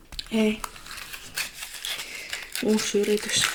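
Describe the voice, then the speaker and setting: Against noticeable background noise, a soft-spoken woman talks at a fairly high pitch. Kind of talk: ASMR sleep clinic roleplay.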